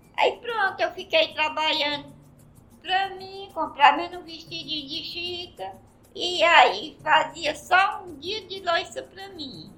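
With music in the background, a woman uses a raised, projected voice at an extremely high pitch. Her pace is very slow, her intonation lively and her loudness swings widely. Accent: Ceará. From Ceará, Brazil (Ipu, interior). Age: 80s+. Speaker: master ceramist. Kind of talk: interview, casual chat.

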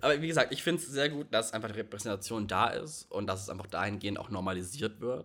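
At a very fast pace and with hardly any pauses, a man of medium pitch speaks with lively intonation and a bright, sharp tone. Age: 20s. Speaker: podcast co-host and student. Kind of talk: casual chat.

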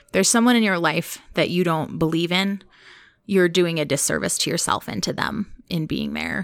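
A woman with vocal fry, fairly low pitch and ordinary pitch variation. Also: moderate pace, very clean recording, silent background. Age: 30s. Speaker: podcast host and wellness coach, author being interviewed. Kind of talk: interview about her book.

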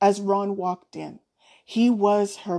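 This is an unforced reading voice set against a quiet background.

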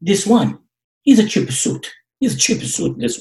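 A man puts on a squeaky character voice at a high pitch. He speaks at a moderate pace. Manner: teasing, affectionate.

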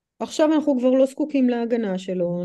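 A woman's fairly high, dark and mellow voice with an American accent and lively intonation, over a quiet background. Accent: American accent in Hebrew. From United States. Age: 40s. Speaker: movement coach and human design practitioner. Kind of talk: podcast interview.

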